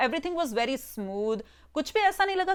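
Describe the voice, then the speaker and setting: A woman's animated, fairly quick delivery with very wide pitch swings over music in the background. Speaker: YouTube film reviewer. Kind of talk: casual video review. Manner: animated, mixes Hindi and English.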